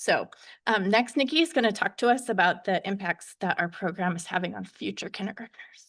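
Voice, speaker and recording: A woman's shaky voice has lively intonation against a quiet background. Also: medium pitch for a woman, fairly quick pace. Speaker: early childhood educator. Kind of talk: board meeting presentation.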